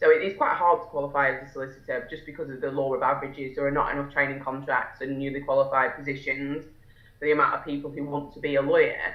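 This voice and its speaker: A woman at a very deep, low pitch in a Lancashire accent, very fast and monotone, with big swings in loudness and audible room echo. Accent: northern English (Lancashire). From northwest England, Fylde coast near Blackpool. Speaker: solicitor and entrepreneur. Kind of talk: interview. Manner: hesitant, many fillers and restarts.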